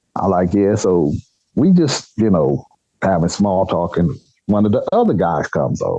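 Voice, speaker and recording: A man speaks with an American accent at a fairly low pitch. His tone is dark and mellow. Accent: country accent (per others). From Nebraska, US Midwest. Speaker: eyewitness storyteller. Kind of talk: personal storytelling in interview. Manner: animated.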